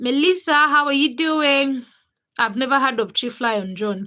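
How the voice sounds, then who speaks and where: A woman's high, bright, sharp voice, raised and projected, at a fairly slow pace with ordinary pitch variation. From Uganda. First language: not English, a Ugandan language. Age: 20s. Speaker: livestreamer. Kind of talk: casual livestream chat reading comments. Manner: casual, chatty with hesitations.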